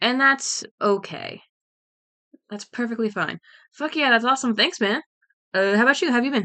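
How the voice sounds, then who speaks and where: Dry and close with no echo, a woman's high, bright, sharp voice moves at a moderate pace with lively intonation and long, frequent pauses. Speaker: streamer drawing art. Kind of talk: casual livestream chat. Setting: home livestream. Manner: casual, hesitant with many ums.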